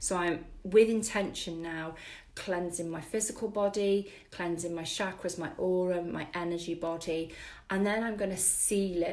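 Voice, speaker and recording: Against audible room echo, a woman with a British accent talks at a moderate pace and medium pitch, her intonation fairly even. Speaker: spiritual wellness teacher. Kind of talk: live-stream workshop. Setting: live stream with viewer comments.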